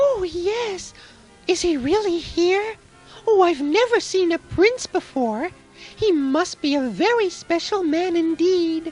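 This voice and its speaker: A woman uses a squeaky, cartoonish character voice at an extremely high pitch with lively intonation. She speaks at a fairly slow pace over faint background music. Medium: puppet show. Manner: soft, earnest.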